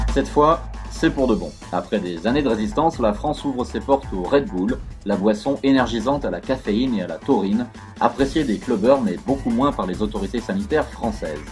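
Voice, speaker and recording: A man talks at a fairly quick pace in a fairly low voice, his pitch swinging very widely. Music plays in the background. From France. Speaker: narrator and stage actor. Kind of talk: news bulletin read.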